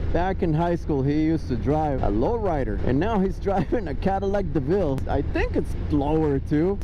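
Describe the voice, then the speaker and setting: Moderate pace, audible room echo, and noticeable background noise. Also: man. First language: Spanish. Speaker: travel vlogger, former journalist. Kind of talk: casual vlog narration. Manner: animated.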